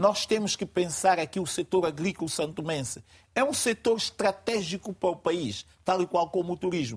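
The man talks at a moderate pace and a high pitch with ordinary pitch variation. The recording is very clean, with a silent background and a dry, close sound with no echo. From São Tomé and Príncipe. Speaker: panel commentator. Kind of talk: TV panel debate. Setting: studio.

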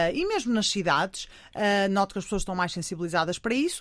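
A woman's medium-pitched speech comes through in a very clean recording against a silent background. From Portugal, Porto. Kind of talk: radio interview. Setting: studio. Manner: loud.

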